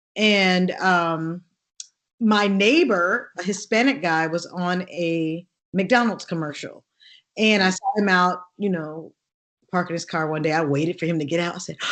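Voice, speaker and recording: With an American accent, a woman with an ordinary speaking voice talks at a fairly slow pace and fairly low pitch with ordinary pitch variation. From US West Coast, Oakland, California. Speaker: actress and singer. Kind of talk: interview.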